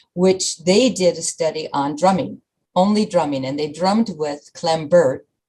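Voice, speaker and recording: A woman speaks with a somewhat breathy voice. Her intonation is lively. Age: 60s. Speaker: fitness program founder. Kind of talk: radio interview.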